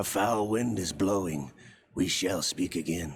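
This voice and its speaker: Very deep and low, a man's raspy put-on character voice rumbles out. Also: moderate pace. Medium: video game. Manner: polite, theatrical.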